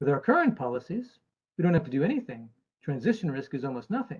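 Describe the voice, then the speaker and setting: His American accent is clear. The man's voice carries some breathiness. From United States. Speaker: actuary and chief investment officer speaking at an event. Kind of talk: presentation talk.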